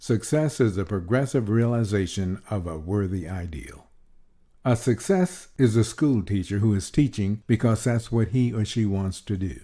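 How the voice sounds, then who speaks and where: On a very clean recording with a silent background, a man with a fairly low pitch and a dark, mellow tone speaks at a moderate pace with lively intonation. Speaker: voice actor. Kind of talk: motivational audiobook reading.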